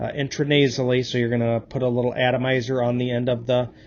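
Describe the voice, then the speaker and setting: This man's medium-pitched speech carries noticeable background noise behind it. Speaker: EMT instructor. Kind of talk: lecture. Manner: monotone; hesitant, many fillers.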